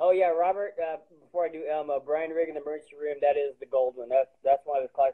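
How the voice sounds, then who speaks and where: Over a quiet background, a man with a US Midwestern accent talks at a very fast pace and a fairly high pitch, with big swings in loudness. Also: fairly even intonation. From Springfield, Missouri; Missouri. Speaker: stand-up comedian. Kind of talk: casual chat.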